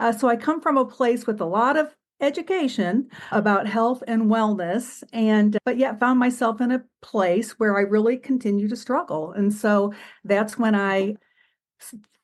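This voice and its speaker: Female speech at a moderate pace, fairly high in pitch with ordinary pitch variation, an ordinary speaking voice. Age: 60s. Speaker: retired psychiatric social worker, patient. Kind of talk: podcast interview.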